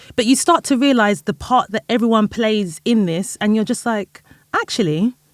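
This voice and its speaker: Dry, close sound with no echo, and a woman with a London accent at a moderate pace, fairly high in pitch, with lively intonation. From England, North London. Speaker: music industry executive and founder. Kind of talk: podcast interview. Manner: casual, filler-heavy.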